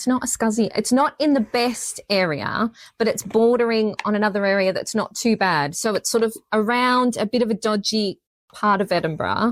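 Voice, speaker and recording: A woman's fairly high voice with an Australian accent, dry and close with no echo. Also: ordinary pitch variation, moderate pace. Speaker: true crime podcaster. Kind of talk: live podcast conversation. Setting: stage with audience at a library.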